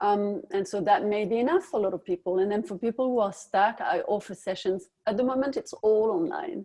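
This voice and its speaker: A woman with a French accent talks at a fairly quick pace with hardly any pauses, using lively intonation, a fairly high pitch and a dark, mellow tone. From France. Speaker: dietitian. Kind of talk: webinar interview. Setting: online webinar.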